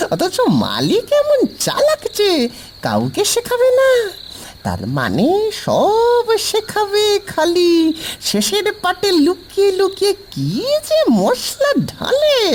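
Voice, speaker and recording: An extremely high-pitched cartoonish character voice crawls along at a very slow pace over clear background noise. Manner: chatty, conspiratorial.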